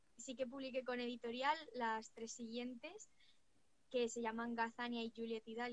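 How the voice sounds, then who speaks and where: A woman's fairly high voice, an unremarkable speaking voice, at a moderate pace with fairly even intonation. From Spain, Cuenca province. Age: 20s. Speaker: writer and digital marketer. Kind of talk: interview.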